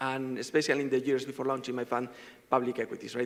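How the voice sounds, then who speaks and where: Speaking with a Spanish accent, a man uses a monotone, flat intonation at a medium pitch. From Spain. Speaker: fund manager. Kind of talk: panel discussion. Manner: fast.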